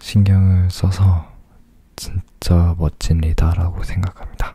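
A man whispers in a somewhat breathy way. The sound is dry, with no echo. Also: quiet background. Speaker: pop idol doing ASMR. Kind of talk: ASMR radio-style talk. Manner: whispered. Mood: calm, smiling.

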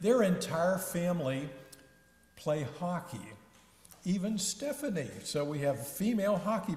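Over audible room echo, a man talks at a fairly slow pace with very wide pitch swings. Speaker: pastor giving announcements. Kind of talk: church announcements. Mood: warm, friendly. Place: church. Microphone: podium.

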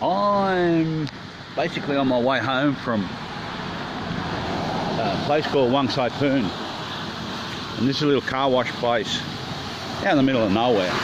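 A man speaks at a fairly slow pace with long, frequent pauses. Noticeable background noise runs behind him. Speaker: traveller vlogger. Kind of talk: casual vlog chat. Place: shop. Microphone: phone near.

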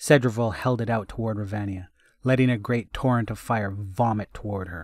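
We hear a natural reading voice in this recording.

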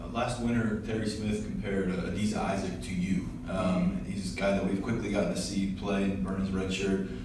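The speech moves at a moderate pace with hardly any pauses, over noticeable background noise and strong room echo. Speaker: sports reporter. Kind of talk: press interview. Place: meeting room.

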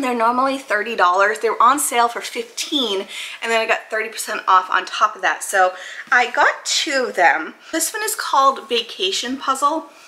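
At a moderate pace, a woman speaks with ordinary pitch variation in an American accent. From Maine, US. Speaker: YouTuber; puzzle hobby youtuber. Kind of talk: casual product haul video; casual haul vlog chat. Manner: casual, filler-heavy. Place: home room.

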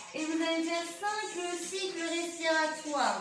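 A woman with an extremely high pitch at a fairly slow pace, amid audible room echo and noticeable background noise. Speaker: fitness instructor. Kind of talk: tutorial. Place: home room. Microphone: camera far.

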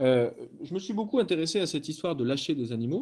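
His tone is dark and mellow. The man's intonation is lively. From France, Lyon area; France. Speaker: anthropologist; researcher in online debate. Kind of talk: online lecture. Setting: video call. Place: home room. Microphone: webcam.

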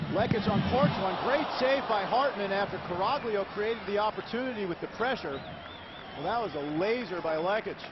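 Through noticeable background noise comes a man's high-pitched voice. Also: ordinary pitch variation, moderate pace. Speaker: play-by-play commentator. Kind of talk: live play-by-play sports commentary. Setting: broadcast highlights over match footage.

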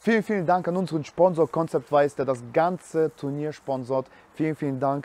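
Speaking at a fairly quick pace, a man with a fairly high pitch has a slightly mellow tone and ordinary pitch variation.

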